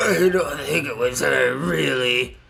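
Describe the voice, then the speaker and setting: In a put-on character voice, a man speaks raspily at medium pitch. His pace is fairly slow. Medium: game stream. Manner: shy, stammering.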